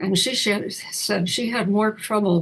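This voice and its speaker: Speaking at a fairly slow pace, a woman talks with vocal fry. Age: 90s. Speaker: retired mayor and planning commissioner. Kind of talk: interview. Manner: halting, many false starts.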